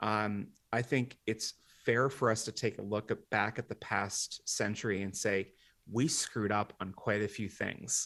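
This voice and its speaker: A man with an ordinary speaking voice, an American accent, fairly low pitch and fairly even intonation, over a quiet background. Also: fairly slow pace. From Washington, D.C. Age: 40s. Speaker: demographic futurist and author. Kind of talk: interview.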